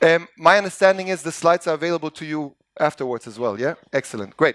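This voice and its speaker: The speech comes at a very fast pace with an animated tone. The sound is dry and close with no echo, on a very clean recording with a silent background. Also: man. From Montenegro. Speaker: business coach and educator. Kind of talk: conference keynote talk. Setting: stage with audience. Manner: loud.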